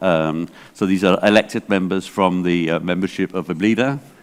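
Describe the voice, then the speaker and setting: Speaking at a fairly quick pace, a man talks in an English accent. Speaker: library association director. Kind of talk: conference keynote talk. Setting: stage with audience, interpreted. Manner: hesitant, many fillers.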